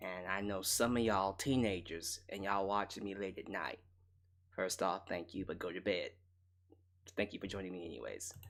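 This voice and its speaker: A man speaks quietly at a moderate pace. His voice sits fairly low and his intonation stays fairly even. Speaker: wrestling commentary host. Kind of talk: casual commentary monologue. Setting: late night home broadcast. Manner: quiet, relaxed.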